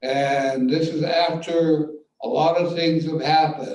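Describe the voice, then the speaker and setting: Amid audible room echo, a man speaks very slowly at a fairly high pitch. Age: 80s+. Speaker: playwright. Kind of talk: post-show Q&A.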